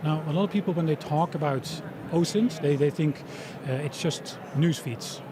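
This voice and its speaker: Noticeable background noise sits behind a man's voice. He moves at a moderate pace with ordinary pitch variation. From Europe. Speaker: tech company founder, former diplomat. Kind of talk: interview at expo. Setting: live event stage.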